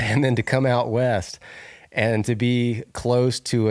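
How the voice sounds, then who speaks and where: A man speaks at a very slow pace with an American accent. The recording is very clean, with a silent background. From US South, Northwest Florida. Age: 40s. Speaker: reality TV winner, outdoorsman and bow builder. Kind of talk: casual interview. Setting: in person, at guest's home.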